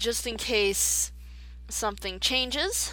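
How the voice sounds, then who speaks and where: A woman's quiet voice at a very slow pace, with audible room echo. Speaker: gaming video creator. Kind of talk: let's play commentary. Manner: hesitant, filler-heavy.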